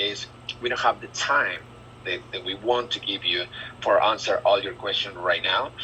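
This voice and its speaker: A man with a strong Spanish accent speaks against noticeable background noise. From Argentina. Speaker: recruiter / business manager. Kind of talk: group job interview briefing. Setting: video call. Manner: halting, many fillers and repetitions.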